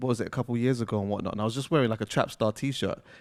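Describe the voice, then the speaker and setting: A man with a London accent talks at medium pitch and fairly even intonation. The recording is very clean with a silent background. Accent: London, Multicultural London English. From London, England. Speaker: podcast host interviewer. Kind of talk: live interview in front of audience. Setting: stage with audience. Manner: casual, filler-heavy.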